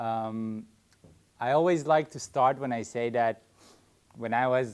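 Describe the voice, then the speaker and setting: In a very clean recording with a silent background, a man with an Israeli accent speaks at a moderate pace with ordinary pitch variation. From Israel (Haifa). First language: Hebrew. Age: 30s. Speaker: farm co-founder, army reservist. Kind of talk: public talk. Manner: halting, with fillers and restarts.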